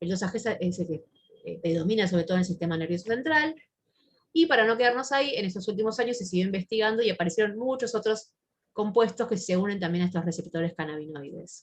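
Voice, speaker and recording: A woman speaking very fast at a medium pitch, somewhat breathy, with lively intonation. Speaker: psychiatrist. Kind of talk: lecture. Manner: halting with fillers.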